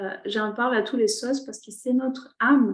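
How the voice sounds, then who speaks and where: The voice is somewhat breathy, and its intonation stays fairly even. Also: woman. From Chile. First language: Spanish (speaking French). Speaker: shaman and energy therapist. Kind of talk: online workshop talk. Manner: halting, many hesitations.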